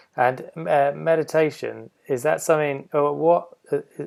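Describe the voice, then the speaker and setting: A man mumbles in a put-on character voice, fairly high in pitch. He moves at a moderate pace. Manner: mumbling.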